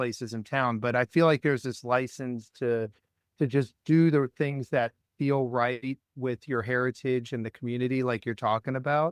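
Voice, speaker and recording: With an American accent and fairly even intonation, a man talks in a plain, everyday voice, the sound dry and close with no echo. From US East Coast, Washington DC area. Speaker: restaurateur, podcast co-host. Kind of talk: casual chat.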